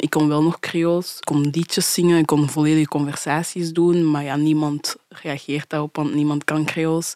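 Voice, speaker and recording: Speaking at a moderate pace with hardly any pauses, a woman has a very deep, low pitch and a dark, mellow tone. Her intonation is monotone and flat, in a dry, close sound with no echo. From Belgium (adopted from Haiti at two). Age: 20s. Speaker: adoptee. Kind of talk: casual interview conversation.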